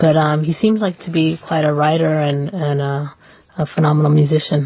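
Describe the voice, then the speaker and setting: Her pitch very deep and low, a woman speaks at a moderate pace in a dark, mellow, somewhat breathy tone with fairly even intonation. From Somalia. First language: not English. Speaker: writer. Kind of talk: radio discussion. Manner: hesitant, many fillers.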